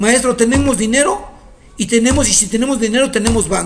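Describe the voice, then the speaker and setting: A man's extremely high, animated voice at a fairly quick pace with ordinary pitch variation, plus audible room echo and noticeable background noise. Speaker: teacher. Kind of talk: lecture. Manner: fast.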